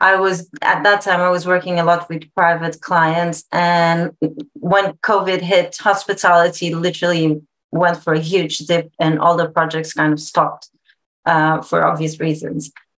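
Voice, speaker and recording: In a Portuguese accent, a woman speaks at a moderate pace with a fairly low pitch and monotone, flat intonation. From Portugal. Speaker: interior designer. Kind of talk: casual interview.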